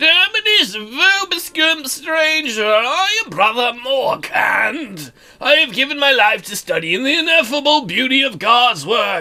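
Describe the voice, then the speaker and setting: A high-pitched, put-on character voice at a fairly slow pace with hardly any pauses. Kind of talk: formal, archaic.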